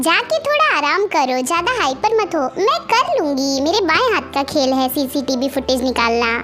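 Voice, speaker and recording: In a put-on character voice with a high pitch, a woman speaks at a moderate pace with hardly any pauses over clear background noise. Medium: machinima. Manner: confident, authoritative.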